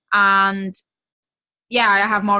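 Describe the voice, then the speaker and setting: A woman speaks at a medium pitch with a West Yorkshire accent. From West Yorkshire, England. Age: 20s. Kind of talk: personal testimony on a group call. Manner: casual, chatty.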